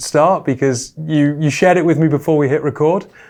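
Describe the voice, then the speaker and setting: With a British accent, a man speaks at a fairly high pitch and with fairly even intonation. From Britain. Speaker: interviewer. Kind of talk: interview.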